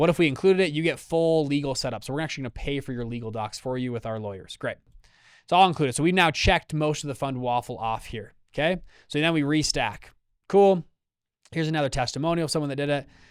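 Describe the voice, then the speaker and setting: A man speaks at a very fast pace with a fairly high pitch. The recording is very clean, with a silent background. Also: ordinary pitch variation. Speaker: business founder and event speaker. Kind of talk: interview walking through a sales pitch. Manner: animated.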